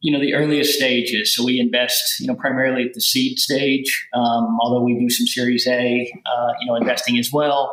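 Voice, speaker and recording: Over noticeable background noise, a man with a Southern US accent talks at a medium pitch. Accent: Southern US accent, maintained. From US South, rural Kentucky. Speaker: venture capital investor. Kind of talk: podcast interview. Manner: many fillers and repetitions.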